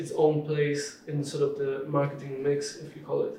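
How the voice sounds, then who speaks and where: A man's fairly high voice with a Polish accent, plus audible room echo and noticeable background noise. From southern Poland (Krakow). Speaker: marketing director. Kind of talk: interview.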